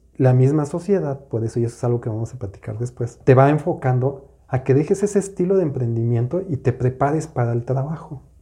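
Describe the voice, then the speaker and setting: A man with a fairly high pitch talks at a very fast pace with lively intonation. His tone is dark and mellow, and somewhat breathy. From Mexico City. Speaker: podcast co-host, business coach. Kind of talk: casual chat.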